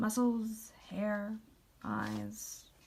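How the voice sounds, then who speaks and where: A woman puts on a hoarse character voice at medium pitch. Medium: read story. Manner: salesman's patter.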